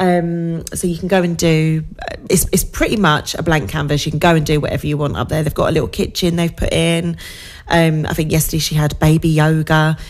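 Monotone, flat intonation at a fairly quick pace, with noticeable background noise. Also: woman, very deep, low pitch for a woman. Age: 40s. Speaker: social media manager and entrepreneur. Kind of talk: casual interview chat on local radio. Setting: radio studio.

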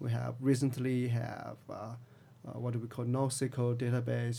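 A man with a Chinese accent talks in a monotone, flat intonation. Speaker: tech company CTO. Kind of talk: interview.

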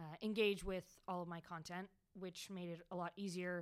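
On a very clean recording with a silent background, a woman speaks at a moderate pace and fairly low pitch in an ordinary speaking voice. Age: young. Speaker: podcast co-host. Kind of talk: casual chat. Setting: public library room.

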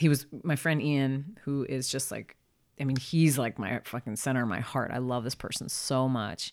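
A woman talks with an American accent in a very deep, low pitch. The recording is very clean, its background silent. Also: ordinary pitch variation, moderate pace. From Philadelphia. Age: 40s. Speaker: creative director and illustrator. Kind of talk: casual chat. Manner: animated.

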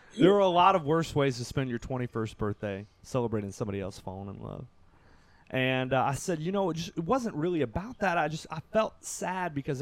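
A man talks fairly quickly in a Kentucky accent. His pitch is fairly high and his intonation lively. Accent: US Southern (Kentucky). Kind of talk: personal storytelling in casual conversation.

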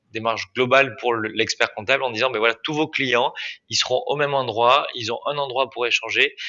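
Fairly quick and with fairly even intonation, a man talks in an ordinary speaking voice. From Dordogne, southwestern France. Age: 20s. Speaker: startup founder. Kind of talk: interview.

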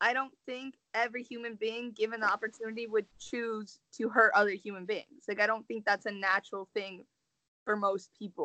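This woman has an ordinary speaking voice pitched fairly high. She talks at a moderate pace with fairly even intonation. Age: 20s. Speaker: podcast co-host. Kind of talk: casual chat.

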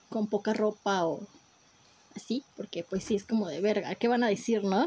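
At a moderate pace, a woman speaks with a Mexican accent. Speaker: podcast co-host. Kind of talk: casual chat.

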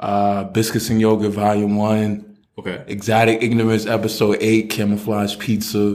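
In a New York accent, a man with a fairly low voice speaks in a flat monotone, hardly pausing, with audible room echo. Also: moderate pace. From New York City, Brooklyn. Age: 30s. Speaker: author. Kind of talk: casual chat.

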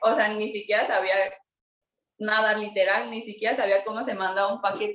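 Her intonation is monotone and flat. The woman keeps a moderate pace. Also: fairly high pitch for a woman. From Mexico City. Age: 20s. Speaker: illustrator and entrepreneur. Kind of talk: interview.

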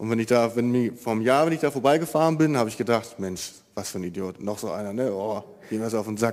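The speaker talks at a very fast pace. Pitch varies in an ordinary way. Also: man, medium pitch for a man. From Germany, East Westphalia (Marienfeld). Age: 20s. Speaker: baker. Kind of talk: testimony. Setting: church.

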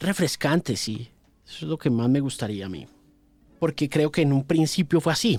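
A fairly high-pitched man speaks at a moderate pace. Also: lively intonation. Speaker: radio presenter. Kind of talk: interview. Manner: halting, with frequent repetitions.

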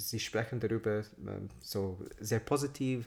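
On a very clean recording with a silent background, a man with an English accent talks at a fairly slow pace with medium pitch and fairly even intonation. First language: English (speaking German). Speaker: podcast co-host. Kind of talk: casual chat. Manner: halting.

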